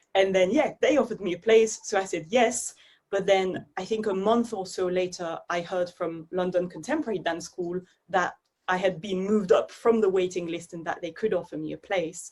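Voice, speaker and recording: A woman speaks with a French accent. Her pitch is medium for a woman. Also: ordinary pitch variation, moderate pace. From Belgium, Brussels area. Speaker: dance artist. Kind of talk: interview conversation.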